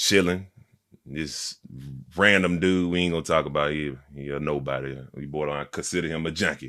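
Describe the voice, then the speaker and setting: A loud man speaks with a bright, sharp tone and ordinary pitch variation on a very clean recording with a silent background. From Montgomery, Alabama (US South). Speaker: rapper. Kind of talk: casual interview. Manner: energetic.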